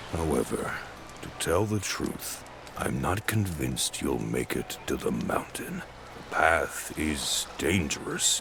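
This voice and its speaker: Using a put-on character voice, a man speaks very deep and low at a fairly slow pace over clear background noise. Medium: video game. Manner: severe with a tinge of mockery.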